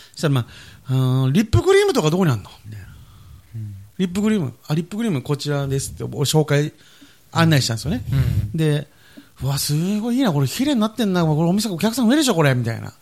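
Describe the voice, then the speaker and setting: A man talks at a very fast pace with very wide pitch swings. His fairly high voice is somewhat breathy. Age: 20s. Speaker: podcast co-host, drugstore worker. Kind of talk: casual chat.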